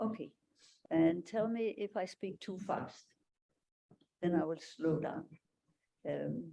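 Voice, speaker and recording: Speaking at a fairly slow pace, a woman uses a fairly low, dark, mellow voice with vocal fry and ordinary pitch variation. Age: 80s+. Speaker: board member of a community association. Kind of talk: conference talk.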